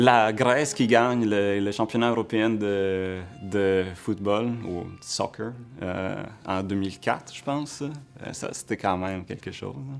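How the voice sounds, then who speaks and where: A man speaking at a very slow pace over background music, his fairly low pitch moving with ordinary variation and his loudness swinging widely. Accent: Italian. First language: Italian (speaking French). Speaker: entrepreneur and researcher. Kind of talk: interview answers. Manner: hesitant, many fillers.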